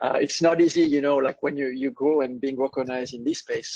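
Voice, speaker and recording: A man with a French accent talks at a fairly quick pace and fairly high pitch, with fairly even intonation and a dry, close sound with no echo. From France. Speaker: software company presenter. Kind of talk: business webinar presentation.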